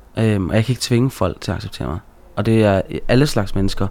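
A man's very fast speech, dark and mellow in tone, at medium pitch with ordinary pitch variation. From Denmark, Aarhus (Gellerup). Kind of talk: casual interview chat.

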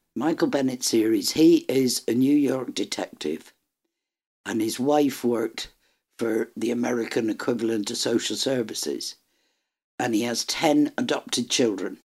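A woman speaks with an Irish accent. Her pitch is very deep and low. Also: ordinary pitch variation, moderate pace. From Ireland. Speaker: book reviewer. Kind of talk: casual chat.

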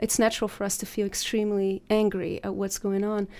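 In a very clean recording with a silent background, a woman talks at a fairly quick pace in a dark, mellow tone at medium pitch. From Brazil, Rio de Janeiro. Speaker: documentary filmmaker. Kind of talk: interview. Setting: studio.

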